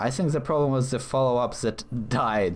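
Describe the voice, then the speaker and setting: A man's voice over noticeable background noise. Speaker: gaming commentator. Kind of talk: gameplay commentary. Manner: halting, stuttering; animated.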